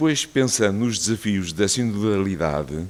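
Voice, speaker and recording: At a moderate pace, an unremarkable speaking voice moves with lively intonation. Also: man. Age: 60s. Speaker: cardiologist giving a talk. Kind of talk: personal testimony talk.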